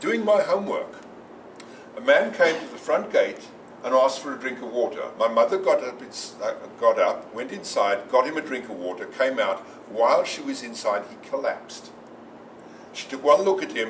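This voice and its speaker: Medium-paced speech from a man, the room's echo audible and background noise clearly present. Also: big swings in loudness. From South Africa. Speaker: speaker on gun rights. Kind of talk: presentation.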